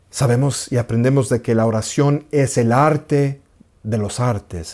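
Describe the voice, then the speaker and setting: A man's warm, dark, mellow voice at medium pitch, with ordinary pitch variation, a very slow pace, and a very clean recording over a silent background. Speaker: Orthodox priest. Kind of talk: spiritual teaching talk. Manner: warm, measured, with occasional repetition.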